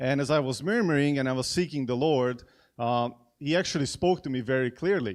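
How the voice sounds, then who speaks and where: At a moderate pace, a man with a slight Hungarian accent speaks in a fairly high pitch with ordinary pitch variation, on a very clean recording with a silent background. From Hungary. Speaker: event host at church. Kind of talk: event introduction speech. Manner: halting, many fillers and repeats.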